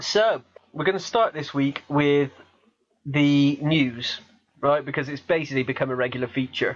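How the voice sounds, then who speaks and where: A man with a slight Gloucestershire accent and fairly high pitch talks at a moderate pace. He uses ordinary pitch variation and leaves long, frequent pauses. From Gloucestershire, England. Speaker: podcast host. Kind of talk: casual chat. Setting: Skype call.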